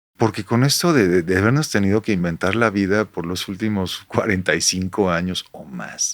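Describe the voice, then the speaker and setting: This man, with a Mexican accent, has a fairly low voice and ordinary pitch variation. He talks at a moderate pace with hardly any pauses. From Mexico. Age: 60s. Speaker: rock musician. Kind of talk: casual chat. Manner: animated.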